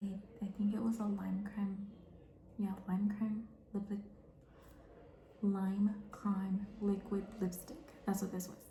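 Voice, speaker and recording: A quiet, somewhat breathy woman's voice, dark and mellow and calm in tone, very slow and monotone, with long, frequent pauses and audible room echo. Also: medium pitch for a woman. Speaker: beauty vlogger. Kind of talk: makeup tutorial chat. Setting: bathroom at home. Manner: calm, quiet.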